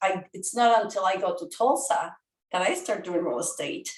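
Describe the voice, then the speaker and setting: A woman talks with a Spanish accent and lively intonation. Her pace is moderate. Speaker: real estate educator. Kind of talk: podcast interview.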